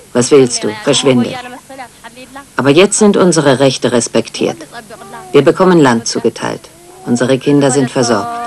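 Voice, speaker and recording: Over noticeable background noise, the speaker uses lively intonation at a moderate pace, with long, frequent pauses. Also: woman, very deep, low pitch for a woman, very even loudness. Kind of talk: interview testimony, dubbed German voice-over.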